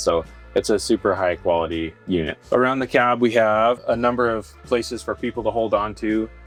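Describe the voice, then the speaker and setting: Over music in the background, a man with an American accent talks at a moderate pace. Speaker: manufacturer employee explaining the product. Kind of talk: casual factory tour explanation.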